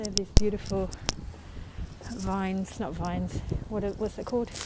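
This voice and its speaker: A woman with a New Zealand accent, medium pitch, ordinary pitch variation and moderate pace. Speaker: tour guide. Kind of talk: live-streamed walking tour. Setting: outdoors.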